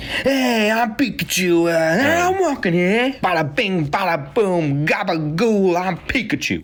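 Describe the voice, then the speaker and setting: A female-sounding, put-on character voice speaks at a medium pitch and a fairly slow pace. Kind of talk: comic, exaggerated.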